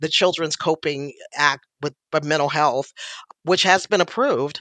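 Against a quiet background, the speaker goes at a fairly slow pace. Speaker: youth mental health clinician. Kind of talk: expert interview.

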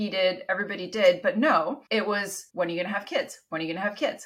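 A woman talks at a medium pitch with ordinary pitch variation over noticeable background noise. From Canada. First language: Italian. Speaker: entrepreneur guest. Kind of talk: casual interview conversation.

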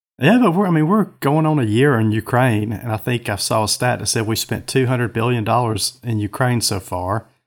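Speaking with a Southern US accent at a fairly quick pace with hardly any pauses, a man uses a medium pitch and ordinary pitch variation, recorded very cleanly against a silent background. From US South (Georgia). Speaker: co-host, former state legislator. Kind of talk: casual political chat.

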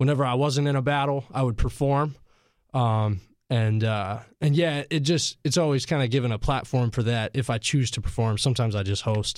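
This man speaks in a plain, everyday voice at medium pitch and a moderate pace, with ordinary pitch variation and very even loudness, on a very clean recording with a silent background. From Asheville, North Carolina. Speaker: rapper. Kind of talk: casual interview. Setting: studio.

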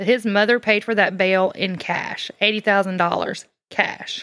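A woman with a Southern US accent at a medium pitch and fairly slow pace, on a very clean recording with a silent background. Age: 40s. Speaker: true crime podcast co-host. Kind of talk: true crime storytelling.

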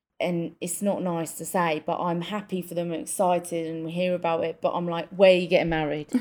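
Speaking fairly quickly with an English accent, a woman has a medium pitch and a dark, mellow tone on a very clean recording with a silent background. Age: 30s. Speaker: podcast co-host. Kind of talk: casual chat.

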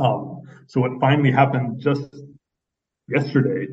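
This man has a somewhat breathy voice at a medium pitch. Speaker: human rights advocate. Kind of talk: radio interview.

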